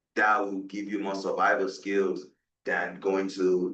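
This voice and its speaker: Speaking at a fairly slow pace, a man with a Nigerian accent keeps a monotone, flat intonation. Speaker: guest speaker on West African politics. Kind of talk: panel discussion.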